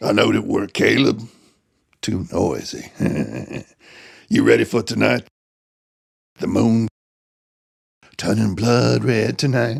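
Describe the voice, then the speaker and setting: A man's put-on character voice, raspy and fairly slow, with long, frequent pauses. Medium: audio drama.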